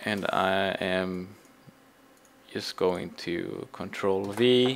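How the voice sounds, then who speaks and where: This is a man with a fairly low pitch. His pitch variation is ordinary. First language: Swedish. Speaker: game server admin. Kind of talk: tutorial. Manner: halting.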